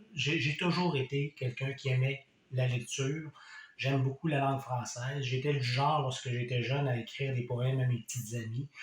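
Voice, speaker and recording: Speaking at a moderate pace with a Quebec accent, a man keeps a medium pitch, monotone, flat intonation, and very even loudness. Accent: Québécois. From Quebec, Compton (Eastern Townships). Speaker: author. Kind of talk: casual book presentation. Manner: hesitant, many fillers.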